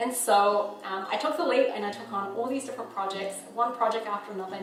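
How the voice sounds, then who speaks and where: In a New Zealand accent, the speaker moves at a fairly quick pace with ordinary pitch variation, amid audible room echo and noticeable background noise. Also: woman. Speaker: filmmaker and photographer. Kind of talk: casual vlog.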